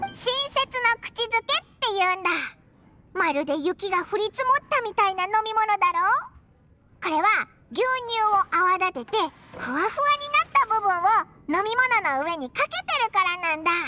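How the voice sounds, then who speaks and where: In a put-on character voice at an extremely high pitch, the speaker moves at a moderate pace with long, frequent pauses. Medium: video game. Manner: chatty, excitable.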